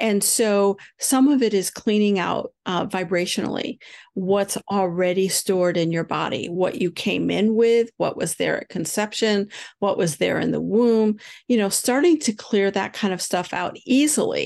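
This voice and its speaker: A woman speaks at a moderate pace in a plain, everyday voice, medium in pitch with ordinary pitch variation. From upstate New York. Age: 60s. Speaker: spiritual healer and teacher. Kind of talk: interview about spirituality. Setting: remote call from a houseboat.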